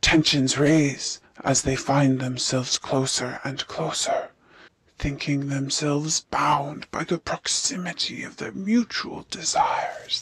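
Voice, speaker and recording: A cartoonish character voice with a low-to-middle pitch delivers lines at a fairly slow pace. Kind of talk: allegorical fable narration. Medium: puppet show. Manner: measured, ironic.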